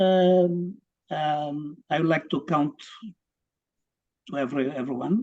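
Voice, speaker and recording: A man with a Portuguese accent speaks at a very slow pace, with long, frequent pauses. His pitch is fairly high with ordinary variation. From Cape Verde. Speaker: graduate student, former politician. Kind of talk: self-introduction. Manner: halting.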